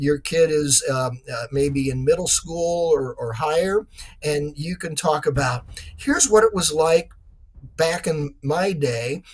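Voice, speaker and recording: A man's normal speaking voice, fairly high in pitch, with ordinary pitch variation at a fairly slow pace. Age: 60s. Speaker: author. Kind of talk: interview.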